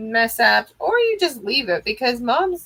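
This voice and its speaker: Pitched high, a woman talks at a fairly slow tempo. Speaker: craft tutorial livestream host. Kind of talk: tutorial. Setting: livestream. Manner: casual, chatty.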